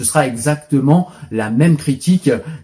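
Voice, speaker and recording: A man speaks at a medium pitch with a dark, mellow tone, a somewhat breathy quality and lively intonation. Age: 40s. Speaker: video blogger. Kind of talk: opinion commentary monologue.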